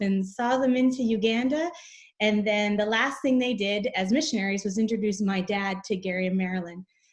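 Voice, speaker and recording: A woman with a Canadian accent and an unremarkable speaking voice talks fairly quickly at a fairly high pitch with ordinary pitch variation. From Canada. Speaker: charity representative, mother. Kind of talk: casual interview chat.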